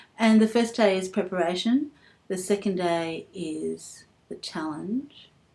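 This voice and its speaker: The speaker has an Australian accent and a dark, mellow tone. Delivery is fairly slow, with ordinary pitch variation. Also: woman, medium pitch for a woman. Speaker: vlogger. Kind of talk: personal vlog. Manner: halting.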